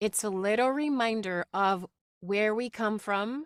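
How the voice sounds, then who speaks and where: A woman speaks with a non-native accent. Her pitch shows ordinary variation. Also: dry, close sound with no echo, very clean recording, silent background. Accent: noticeable non-native. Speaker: voice actress and public speaking instructor. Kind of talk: workshop talk.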